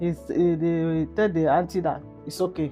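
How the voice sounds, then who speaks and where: A calm tone at a moderate pace, with music in the background. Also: woman. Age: old. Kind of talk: interview answer.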